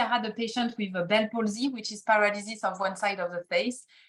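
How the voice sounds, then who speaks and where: In a French accent, a woman talks at a moderate pace, her fairly high voice somewhat breathy. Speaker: acupuncturist. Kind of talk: podcast interview. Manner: halting.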